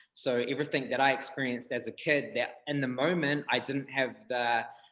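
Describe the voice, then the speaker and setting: A man with a New Zealand accent at a fairly high pitch and a fairly quick pace, with monotone, flat intonation. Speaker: breathwork healer, rapper, tattooer. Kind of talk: interview answer.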